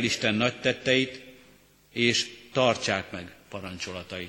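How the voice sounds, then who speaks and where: This man talks very slowly while noticeable background noise fills the recording. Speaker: scripture reader. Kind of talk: reading aloud. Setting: church.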